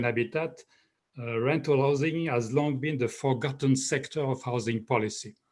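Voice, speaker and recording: A man with a French accent speaks at a moderate pace, somewhat breathy and with fairly even intonation, on a very clean recording with a silent background. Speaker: professor, rental housing expert. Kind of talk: panel discussion. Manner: halting.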